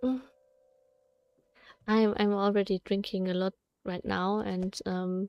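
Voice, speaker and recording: A woman's medium-pitched, monotone, flat delivery at a fairly slow pace, with long, frequent pauses and a dry, close sound with no echo. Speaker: vtuber streamer. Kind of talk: casual gameplay livestream. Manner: halting.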